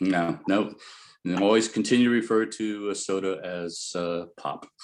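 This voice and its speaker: A man speaks in a Midwestern accent at a moderate pace. His pitch is fairly low, and the background is quiet. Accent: Midwestern, flat A. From US Midwest, Ohio. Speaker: resident speaking at public comment. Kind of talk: public meeting comment. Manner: halting.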